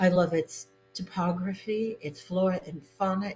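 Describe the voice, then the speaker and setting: A woman talks at a medium pitch. Music can be heard behind her. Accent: American. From New England, Boston. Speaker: novelist. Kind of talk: interview.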